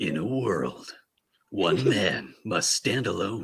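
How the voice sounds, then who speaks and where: Putting on a character voice, a man talks at a very slow pace, raspy and fairly low in pitch. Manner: slow and dramatic.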